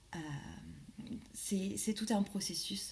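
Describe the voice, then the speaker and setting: A woman speaks very slowly in a dark, mellow tone that is somewhat breathy. Her pitch varies in an ordinary way. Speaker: life coach and medium. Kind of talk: casual vlog monologue. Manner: hesitant, many fillers.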